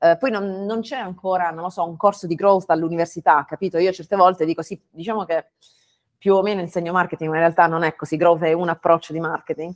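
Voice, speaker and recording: The speech comes at a very fast pace with fairly even intonation. The sound is dry and close with no echo. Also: woman, fairly low pitch for a woman. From Bari, southern Italy. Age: 30s. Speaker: growth consultant and startup mentor. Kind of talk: interview conversation. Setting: video call from home. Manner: halting, many fillers.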